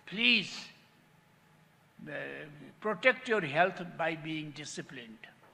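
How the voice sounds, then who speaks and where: A man with a Nepali accent speaks very slowly, leaving long, frequent pauses. His high voice sounds bright and sharp, with lively intonation. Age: 80s+. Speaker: patient with lived experience, diabetic. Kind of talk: testimony.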